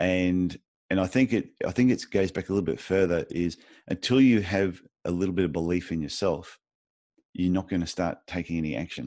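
This voice has an Australian accent and a dark, mellow tone. It moves at a fairly quick pace with ordinary pitch variation. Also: man, very deep, low pitch for a man. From Australia, Queensland. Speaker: podiatrist and podcast host. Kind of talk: interview. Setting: remote call.

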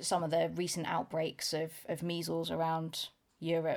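Someone with a British accent speaks at a fairly slow pace in a very clean recording with a silent background. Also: woman. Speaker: school chemistry teacher. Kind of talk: casual podcast chat.

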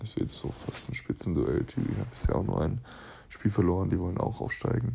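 A man speaks with a very deep, low pitch and ordinary pitch variation. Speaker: basketball player and podcaster. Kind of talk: casual voice memo monologue. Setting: lying in bed at home.

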